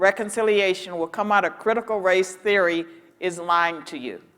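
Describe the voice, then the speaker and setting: With an American accent, a woman speaks at a medium pitch and fairly even intonation against noticeable background noise. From rural Virginia. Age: 60s. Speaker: panelist, professor. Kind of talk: panel discussion. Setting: stage with audience.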